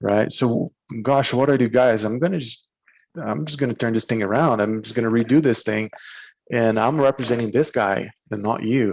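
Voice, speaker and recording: Medium-pitched male voice with a Portuguese accent, ordinary pitch variation and a moderate pace. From Brazil. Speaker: corporate attorney. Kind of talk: casual interview. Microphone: bandwidth issues.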